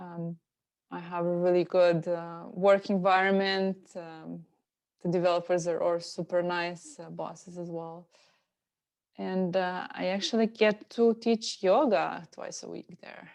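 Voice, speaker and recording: A woman with a Slovenian accent, fairly low-pitched, fairly even in intonation, at a fairly slow pace, with big swings in loudness, over a quiet background. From Slovenia, near Italy. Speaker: yoga and meditation teacher. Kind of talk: interview conversation. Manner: hesitant with many fillers.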